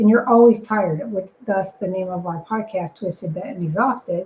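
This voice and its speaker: At a moderate pace, a woman speaks with a somewhat breathy voice and ordinary pitch variation. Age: 60s. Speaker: business operations consultant and podcast co-host. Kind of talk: podcast conversation.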